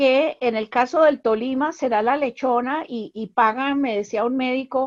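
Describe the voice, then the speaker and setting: A woman with a high voice talks at a fairly slow pace, using ordinary pitch variation. The sound is dry and close with no echo, over a quiet background. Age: 70s. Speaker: anthropologist. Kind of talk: panel discussion.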